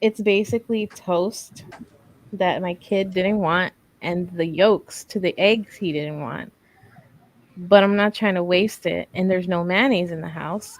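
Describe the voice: Soft-spoken, a woman of medium pitch talks at a fairly slow pace with fairly even intonation.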